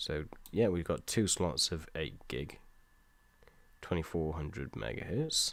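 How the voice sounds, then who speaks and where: A man with a British accent, a very deep, low pitch and vocal fry, lively intonation, a fairly slow pace with long, frequent pauses, and a very clean recording over a silent background. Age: 20s. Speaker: gaming live streamer. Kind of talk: casual live-stream chat. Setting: live stream from home.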